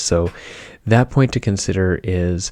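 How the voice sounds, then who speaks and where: Soft-spoken and calm, a man talks with a dark, mellow tone at a very deep, low pitch. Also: very clean recording, silent background. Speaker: podcast host. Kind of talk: casual talk to camera. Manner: soft-spoken, calm.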